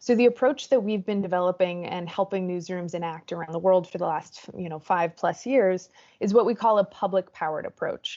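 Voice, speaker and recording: With a medium pitch, a woman talks at a fairly quick pace, showing ordinary pitch variation and big swings in loudness. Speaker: startup co-founder and CEO giving a presentation. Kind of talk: conference presentation. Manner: fast.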